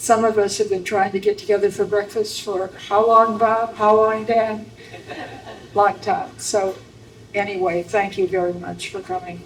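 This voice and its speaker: Speaking in an Upper Midwest accent with monotone, flat intonation, a woman is heard over noticeable background noise. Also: medium pitch for a woman, moderate pace. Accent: Upper Midwest American. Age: 80s+. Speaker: memoir author, local historian. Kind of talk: live interview.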